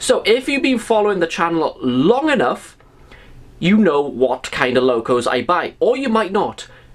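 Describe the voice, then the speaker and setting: With a Welsh accent, a man speaks at a moderate pace in a high pitch, his voice making very wide pitch swings. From Wales. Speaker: model railway YouTuber. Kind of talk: casual video review. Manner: conversational, addressing viewers.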